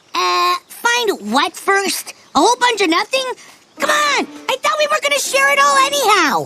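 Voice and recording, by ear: This is a cartoonish character voice at an extremely high pitch. It moves at a moderate pace with very wide pitch swings.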